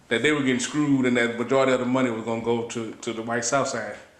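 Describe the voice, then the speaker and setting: A man with an American accent talks at a very fast pace, at medium pitch, with fairly even intonation. Noticeable background noise runs underneath. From St. Louis, Missouri. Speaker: electrician and labor activist. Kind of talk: oral history interview answer.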